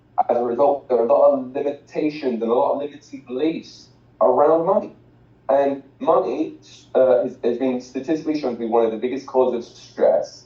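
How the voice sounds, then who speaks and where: There is noticeable background noise behind this man. His pitch sits fairly high and varies in an ordinary way. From England, outside London. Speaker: financial educator, former soccer coach. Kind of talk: motivational talk. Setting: video call.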